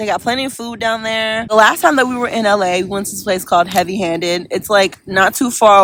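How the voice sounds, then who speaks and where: A woman speaks at a fairly quick pace in a medium pitch. Her pitch varies in an ordinary way. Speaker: lifestyle vlogger. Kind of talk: travel vlog voice memo. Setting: outdoors on a beach. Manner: fast.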